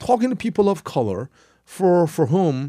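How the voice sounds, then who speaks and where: Very wide pitch swings run through speech at a fairly slow pace. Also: man. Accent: Korean. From South Korea, then US from mid-teens. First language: Korean. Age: 50s. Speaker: history professor. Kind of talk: interview. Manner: halting.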